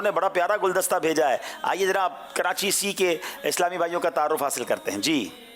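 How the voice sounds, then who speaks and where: Noticeable background noise runs behind a man whose voice sits high in pitch. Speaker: quiz show host. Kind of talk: quiz show hosting. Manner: formal.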